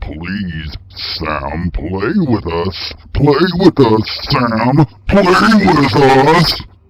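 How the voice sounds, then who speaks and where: A man's growling put-on character voice at medium pitch, very slow, with very wide pitch swings. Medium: read story. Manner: creepy, coaxing, menacing.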